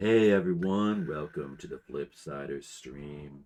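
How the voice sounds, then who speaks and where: Using a put-on character voice, a man drops to a very deep, low pitch. His delivery is fairly slow. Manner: laid-back.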